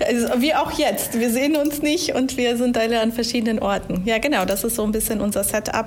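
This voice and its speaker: A woman with a fairly high pitch talks at a fairly quick pace, with hardly any pauses, ordinary pitch variation and very even loudness. Noticeable background noise runs underneath. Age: 30s. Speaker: HR manager. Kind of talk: casual interview. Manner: hesitant, many fillers.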